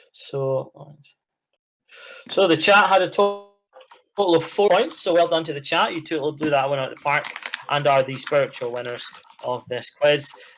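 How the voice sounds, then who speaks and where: Someone with a Scottish accent speaks with long, frequent pauses. Music plays in the background. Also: man, fairly high pitch for a man, ordinary pitch variation, moderate pace. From Scotland. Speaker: podcast co-host. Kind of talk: casual chat.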